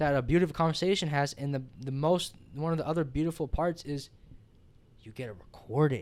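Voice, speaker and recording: Mumbling in an animated tone, a man talks with a fairly high pitch. His pitch variation is ordinary, but his loudness swings widely. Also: fairly quick pace. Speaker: podcast host. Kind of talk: casual chat. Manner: fast, mumbling.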